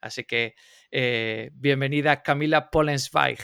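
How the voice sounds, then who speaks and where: In a plain, everyday voice at medium pitch, a man speaks fairly slowly, the sound dry and close with no echo. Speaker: podcast co-host. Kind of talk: podcast interview. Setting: remote call.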